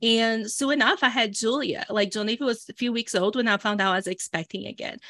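A woman with a Brazilian accent at a fairly quick pace, ordinary pitch variation, dry and close sound with no echo, very clean recording with a silent background. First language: Portuguese. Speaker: entrepreneur and business coach. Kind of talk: casual conversational interview. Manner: animated.

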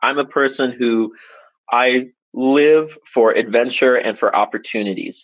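A man has an ordinary speaking voice at a medium pitch. His intonation is fairly even. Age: 30s. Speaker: professional musician and band leader. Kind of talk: casual chat.

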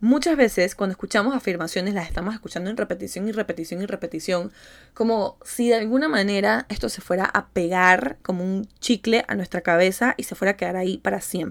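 On a very clean recording with a silent background, a woman speaks at a fairly quick pace with vocal fry and hardly any pauses. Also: medium pitch for a woman, ordinary pitch variation. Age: 20s. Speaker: psychologist and manifestation coach, podcast host. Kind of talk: solo motivational podcast talk. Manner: animated.

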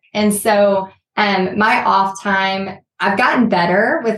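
The speaker is a woman whose voice sits at a medium pitch. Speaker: art business owner, former teacher. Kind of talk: casual interview.

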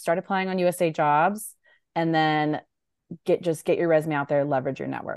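With a General American accent, a woman speaks at a fairly low pitch and a fairly quick pace, with fairly even intonation. It is a normal speaking voice, set against a quiet background. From US, military brat (California, Hawaii, Guam). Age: 30s. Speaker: Air Force civilian contracting officer. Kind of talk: interview.

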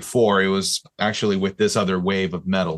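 A man's voice, an ordinary speaking voice, with lively intonation. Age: 30s. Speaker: podcast co-host, metal musician. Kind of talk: casual chat.

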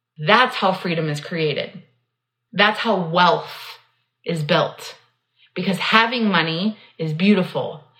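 Long, frequent pauses mark this very slow delivery with ordinary pitch variation. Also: woman, medium pitch for a woman. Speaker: business coach podcast host. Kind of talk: solo podcast monologue. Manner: unstructured riffing.

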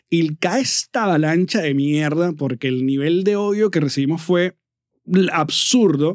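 With a Venezuelan accent, a man speaks at a fairly slow pace in a fairly high pitch with ordinary pitch variation, the sound dry and close with no echo. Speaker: comedian and radio host. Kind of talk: casual interview chat.

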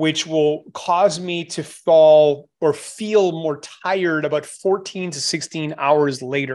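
With a normal speaking voice, a man speaks at a fairly high pitch using ordinary pitch variation. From Canada. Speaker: supplement formulator and strength coach. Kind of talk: podcast interview.

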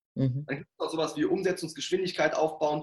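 With an energetic tone, a man speaks at a fairly high pitch. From Ruhr area, Germany. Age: 40s. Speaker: sales trainer and coach. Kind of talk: interview.

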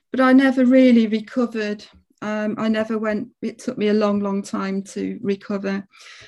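Here a woman with an English accent speaks at a moderate pace in a dark, mellow tone. Her intonation is monotone and flat. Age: 50s. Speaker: palliative care nurse. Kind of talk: casual chat. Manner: halting.

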